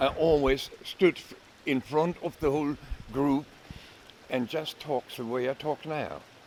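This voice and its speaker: A man's fairly high voice, marked by long, frequent pauses, amid noticeable background noise. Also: fairly even intonation, fairly slow pace. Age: 70s. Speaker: psychologist and life coach. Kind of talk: casual talk to camera. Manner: unhurried, with hesitations.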